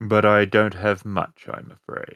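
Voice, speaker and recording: In a put-on character voice, a man speaks fairly slowly with a fairly low pitch and monotone, flat intonation. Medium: actual play. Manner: terse, guarded.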